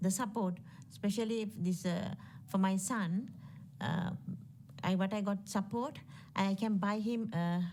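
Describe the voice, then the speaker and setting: A woman with a non-native accent speaks at a fairly slow pace in a dark, mellow, somewhat breathy tone with ordinary pitch variation. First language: not English. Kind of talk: testimony. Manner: halting.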